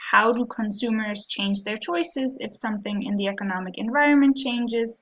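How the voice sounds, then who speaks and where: A woman with a German accent and ordinary pitch variation. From Germany. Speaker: professor. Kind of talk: course introduction video. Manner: hesitant, frequent ums.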